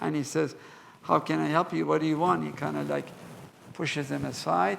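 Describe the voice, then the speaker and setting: A man speaks at a moderate pace, and room echo can be clearly heard around his voice. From Iran, Mashhad. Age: 80s+. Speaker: museum curator. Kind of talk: lecture with Q&A.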